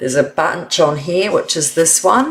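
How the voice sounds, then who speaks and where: A woman speaks with a fairly low pitch in a New Zealand accent. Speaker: card making instructor. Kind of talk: live stream tutorial. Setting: live stream. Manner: casual, thinking aloud.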